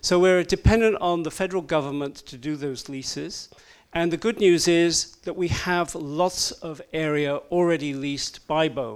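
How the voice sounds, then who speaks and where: At a moderate pace, a man speaks in a high voice with ordinary pitch variation and big swings in loudness. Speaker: offshore wind industry advocate. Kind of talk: panel presentation. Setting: stage with audience.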